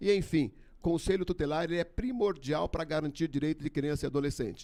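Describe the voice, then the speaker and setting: A man with an ordinary speaking voice talks at a fairly quick pace. His pitch is fairly high, with ordinary pitch variation. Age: 60s. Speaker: election candidate. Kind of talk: debate statement. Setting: studio.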